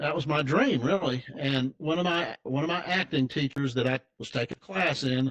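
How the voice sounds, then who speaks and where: Speaking with an American accent, a man talks at a moderate pace in a fairly high voice with ordinary pitch variation. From Tennessee, US South. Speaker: financial advisor. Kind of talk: interview storytelling. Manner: casual, halting with false starts.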